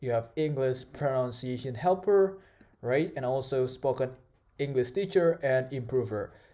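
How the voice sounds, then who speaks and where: This man has a medium pitch and a dark, mellow tone, with ordinary pitch variation. He talks at a fairly slow pace in an Indonesian accent. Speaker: tech tutorial creator. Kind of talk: tutorial. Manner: halting, many fillers.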